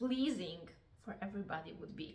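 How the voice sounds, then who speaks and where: A woman talks at a medium pitch with a non-native accent. Noticeable background noise and audible room echo surround her voice. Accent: foreign. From Poland. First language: Polish. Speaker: confidence coach. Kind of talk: vlog talk to camera. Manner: halting, with frequent fillers.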